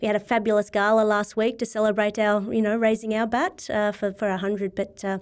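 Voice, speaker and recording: An Australian-accented woman at a medium pitch, talking at a fairly quick pace, on a very clean recording with a silent background. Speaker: CEO of a sporting body. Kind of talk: interview.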